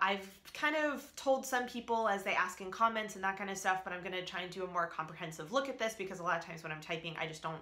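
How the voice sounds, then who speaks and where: A woman's medium-pitched voice with lively intonation and audible room echo. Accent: American. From US East Coast, Alabama and Northern Virginia. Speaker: vlogger. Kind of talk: casual vlog chat. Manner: rambling with many fillers.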